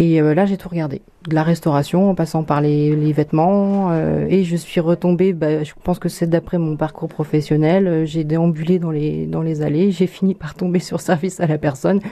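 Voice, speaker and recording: A woman with a dark, mellow tone and fairly low pitch speaks at a moderate pace in a monotone, flat way, with hardly any pauses. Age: 30s. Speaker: business owner. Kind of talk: interview. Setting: office. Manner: halting, with fillers.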